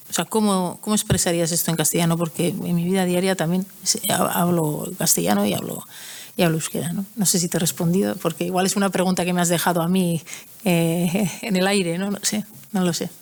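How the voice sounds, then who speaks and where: With a Basque accent, a woman speaks at a fairly low pitch with ordinary pitch variation. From Basque Country. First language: Basque (speaking Spanish). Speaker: writer. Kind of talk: conference Q&A. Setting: hall with audience. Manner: halting.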